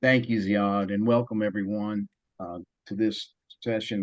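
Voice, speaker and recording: Speaking at a moderate pace against a quiet background, a man uses a fairly low pitch and monotone, flat intonation. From US South. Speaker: panel moderator, development expert. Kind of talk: panel moderation.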